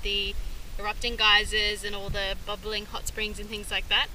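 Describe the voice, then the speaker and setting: With light background noise and a dry sound with no echo, a woman speaks at a moderate pace. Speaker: travel vlogger. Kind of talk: casual vlog chat. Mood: relaxed, cheerful. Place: waterside. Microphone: phone near.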